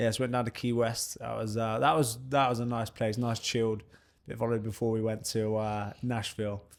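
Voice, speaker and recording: In a southern English accent, a man talks fairly quickly at a medium pitch, his intonation monotone and flat. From southern England, Bournemouth area (Dorset). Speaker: professional boxer. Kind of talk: casual interview chat.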